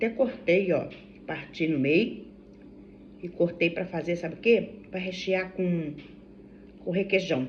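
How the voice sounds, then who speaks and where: A woman speaks at a medium pitch and a fairly slow pace. Audible room echo surrounds her voice. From Brazil, Vassouras, Rio de Janeiro state. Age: 60s. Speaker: vlogger. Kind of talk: casual vlog chat. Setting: at home during breakfast. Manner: chatty, halting with self-corrections. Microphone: no microphone, phone recording.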